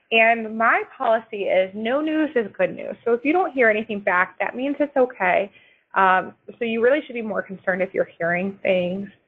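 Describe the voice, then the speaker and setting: This woman has a fairly high pitch. Her intonation is lively. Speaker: employment attorney. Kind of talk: webinar presentation; answering audience questions. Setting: webinar. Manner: fast.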